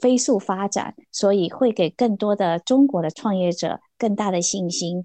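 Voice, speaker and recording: Against a quiet background, a woman speaks at a fairly slow pace with a dark, mellow tone. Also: dry, close sound with no echo. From Shanghai, then California. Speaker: investor. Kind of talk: panel discussion.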